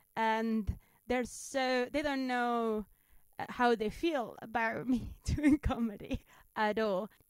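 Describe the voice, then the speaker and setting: With a Spanish accent, a woman with a high pitch and ordinary pitch variation speaks at a very slow pace. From Spain. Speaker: stand-up comedian. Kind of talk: interview. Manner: halting.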